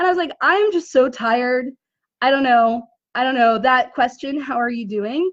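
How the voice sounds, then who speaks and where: Lively in intonation, a woman speaks at a moderate pace with a high pitch. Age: 40s. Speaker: online business coach. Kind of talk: casual talk to camera.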